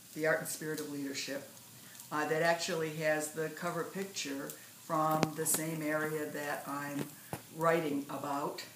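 Against noticeable background noise, a woman speaks with an American accent in a very deep, low pitch. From US Great Lakes, northern Michigan. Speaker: poet. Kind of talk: poetry reading; casual talk to camera. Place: home room. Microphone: phone near.

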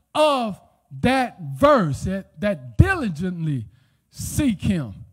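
A man's high voice sounds animated, with very wide pitch swings. The background is quiet. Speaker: pastor. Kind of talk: sermon. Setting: church. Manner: call-and-response preaching, urgent and exhorting. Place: church. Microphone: handheld.

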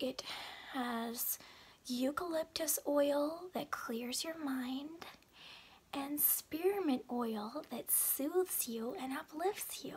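Whispering very slowly, a soft-spoken woman talks in a gentle tone. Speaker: beauty product vlogger. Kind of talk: casual vlog chat. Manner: soft whisper, gentle and smiling. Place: home room. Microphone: phone near.

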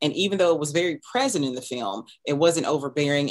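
A woman talks at a moderate pace over a quiet background. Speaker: podcast host interviewer. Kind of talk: interview question and commentary. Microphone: headset.

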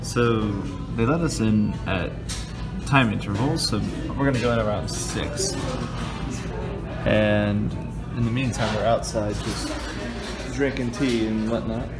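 Over clear background music, a man talks fairly slowly with long, frequent pauses. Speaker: vlogger. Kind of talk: casual vlog chat. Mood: cheerful, laughing. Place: cafe. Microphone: phone near.

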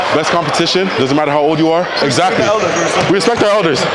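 Loud background noise sits under this recording of a man. He speaks with ordinary pitch variation. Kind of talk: casual banter, interview answer. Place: hall. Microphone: lapel.

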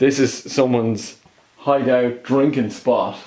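In an Irish accent, a man talks at a very slow pace with monotone, flat intonation over a quiet background. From Ireland. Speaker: travel vlogger. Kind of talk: vlog narration while exploring. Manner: hesitant, nervous. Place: empty room. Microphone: phone near.

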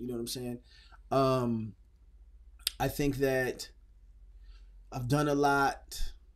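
A man with an American accent speaks in a monotone with flat intonation against a quiet background. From Phoenix, Arizona; Arizona. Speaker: rapper; podcast guest. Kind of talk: casual interview. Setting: studio. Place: studio. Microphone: studio mic.

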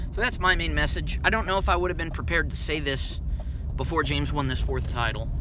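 A man with an American accent at a very fast pace, over noticeable background noise. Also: dry sound with no echo. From US, town without an NBA team. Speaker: basketball commentator. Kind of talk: monologue. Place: car. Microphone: phone near.

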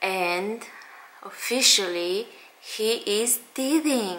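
The speaker is a woman. There is light background noise behind her. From Romania. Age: 30s. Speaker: stay-at-home mom vlogger. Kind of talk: casual talk to camera. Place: home room. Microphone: phone near.

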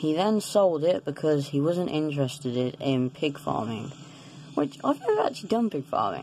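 The voice moves at a moderate pace against light background noise. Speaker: gamer doing role play. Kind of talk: casual game role-play commentary. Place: home room. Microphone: phone near.

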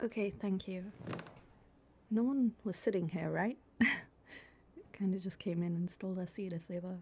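A woman talks fairly slowly at a medium pitch with fairly even intonation. Her voice is somewhat breathy. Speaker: ASMR creator doing a girlfriend roleplay. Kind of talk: girlfriend ASMR roleplay, casual talk to the listener.

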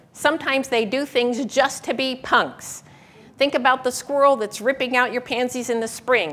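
The voice belongs to a woman and is high-pitched. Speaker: presenter. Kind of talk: lecture. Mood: humorous storytelling. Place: hall. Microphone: lapel.

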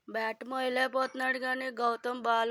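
A woman's bright, sharp, monotone voice with flat intonation, on a very clean recording with a silent background and a dry, close sound with no echo. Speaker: vlogger. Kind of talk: casual vlog narration.

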